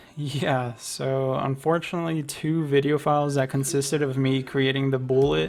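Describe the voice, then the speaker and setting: A man talks at a moderate pace with hardly any pauses, in a flat, monotone voice at very even loudness. Music plays in the background. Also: fairly high pitch for a man. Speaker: game designer. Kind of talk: casual devlog narration.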